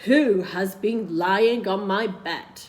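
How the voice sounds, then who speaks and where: A growling, put-on character voice that sounds female comes through at a middle pitch. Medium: read story.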